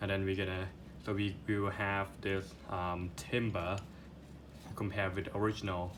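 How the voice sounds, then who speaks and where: In a room with audible echo, a man speaks at a fairly slow pace with a fairly low pitch. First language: not English. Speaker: product reviewer. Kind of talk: unboxing review. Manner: halting, many fillers and repeats; enthusiastic.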